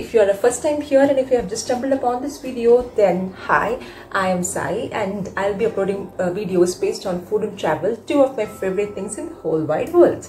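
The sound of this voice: Fairly quick pace with few pauses, a slightly mellow tone, ordinary pitch variation and faint background noise. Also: woman, medium pitch for a woman.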